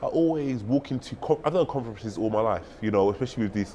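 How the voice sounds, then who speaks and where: A man speaks in a London accent at a very fast pace. His intonation is lively. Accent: noticeable London. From London, England. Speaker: tech sales professional and conference speaker. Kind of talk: interview. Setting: conference venue.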